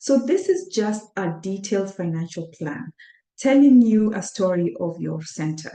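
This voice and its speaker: Speaking with a Kenyan accent at a moderate pace, a woman uses a dark, mellow, medium-pitched voice with lively intonation. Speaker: accountant and workshop presenter. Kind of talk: webinar presentation. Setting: online webinar. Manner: hesitant, with many fillers.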